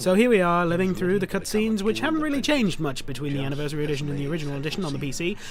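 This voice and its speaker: Over noticeable background noise and audible room echo, a man with a high pitch talks very fast with hardly any pauses. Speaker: gaming YouTuber. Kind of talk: let's play commentary. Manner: animated.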